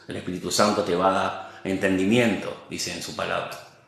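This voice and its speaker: The speech moves at a moderate pace. Audible room echo and noticeable background noise surround it. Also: man. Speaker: lay preacher. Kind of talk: sermon. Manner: halting, sometimes stutters.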